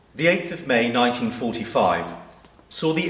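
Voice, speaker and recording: Against noticeable background noise, the speech carries lively intonation. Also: man. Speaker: vicar giving a sermon. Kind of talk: church sermon.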